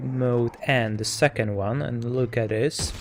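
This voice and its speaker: A man with a non-native accent talks at a very slow pace and medium pitch, keeping a fairly even intonation. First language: not English. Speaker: tech reviewer. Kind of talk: product review tutorial. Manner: halting, with many fillers and repetitions.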